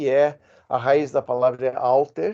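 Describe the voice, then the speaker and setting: Against a quiet background, a man with an American accent speaks at a medium pitch, his tone dark and mellow and his pitch variation ordinary. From United States. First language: English (speaking Portuguese). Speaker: guest speaker on listening. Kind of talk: monologue talk. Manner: hesitant, many 'ah' fillers.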